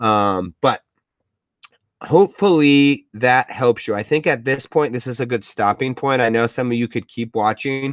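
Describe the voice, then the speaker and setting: An unremarkable speaking voice, a man's at medium pitch with ordinary variation, moves at a moderate pace in a dry, close sound with no echo. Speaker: education technology coach. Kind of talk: webinar tutorial.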